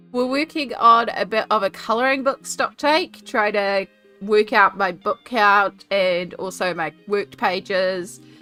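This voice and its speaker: With music in the background, a woman speaks at a fairly slow pace and a medium pitch with ordinary pitch variation. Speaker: artist and colouring book streamer. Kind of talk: casual live stream talk.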